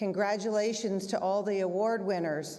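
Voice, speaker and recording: In a room with audible echo, a woman of medium pitch speaks at a moderate pace. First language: German. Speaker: head of school. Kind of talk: closing remarks speech. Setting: school theater stage with audience.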